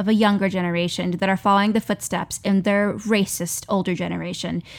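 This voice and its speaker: A woman with a normal speaking voice talks at medium pitch on a very clean recording with a silent background. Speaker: actor and performer. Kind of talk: casual chat.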